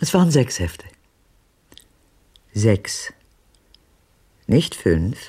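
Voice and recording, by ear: A woman's put-on character voice, extremely low in pitch, with a dark, mellow tone, a husky, rough edge, big pitch swings and a very slow pace.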